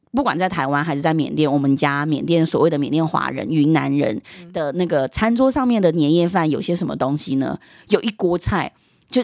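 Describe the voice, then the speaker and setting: An animated woman's voice, very deep and low, with lively intonation and a fairly quick pace, dry and close with no echo. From Myanmar (Chinese diaspora family), moved to Taiwan at age 10. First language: Yunnanese dialect (speaking Chinese). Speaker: guest, cultural content creator. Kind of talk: casual chat. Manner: laughs loudly and often.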